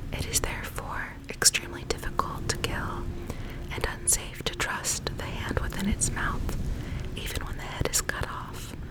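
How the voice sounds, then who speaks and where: A woman whispering at a moderate pace over noticeable background noise. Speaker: ASMR creator. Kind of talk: ASMR educational facts narration. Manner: whispered.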